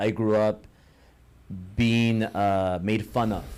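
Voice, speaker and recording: Very slowly and with fairly even intonation, a man with an American accent speaks at a fairly low pitch on a very clean recording with a silent background. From Los Angeles, Echo Park. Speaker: entrepreneur and business mentor. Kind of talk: podcast interview.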